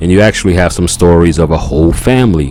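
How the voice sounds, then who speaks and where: Over music in the background, a man with an American accent and a very deep, low pitch speaks at a very fast pace with ordinary pitch variation. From New Orleans, US South. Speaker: podcast host. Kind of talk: casual monologue.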